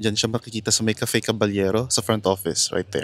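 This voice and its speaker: Heard in a dry, close sound with no echo, a man moves through his words at a moderate pace. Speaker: travel vlogger. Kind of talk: travel vlog narration. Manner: casual Taglish code-switching; soft-spoken.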